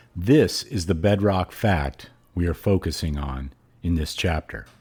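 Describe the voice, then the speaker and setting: A man speaks with a very deep, low pitch and a somewhat breathy voice. His intonation is lively. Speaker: podcast host. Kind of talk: reading aloud; podcast outro.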